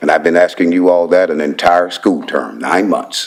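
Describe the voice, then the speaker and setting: A man's voice at a fairly slow pace. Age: 60s. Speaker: public commenter. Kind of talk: public comment at council meeting. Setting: council chamber podium. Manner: emphatic, repetitive.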